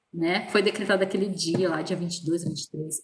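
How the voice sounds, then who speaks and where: A woman's plain, everyday voice at medium pitch and a fairly quick pace. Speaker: teacher. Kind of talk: online lecture. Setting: virtual class. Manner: casual.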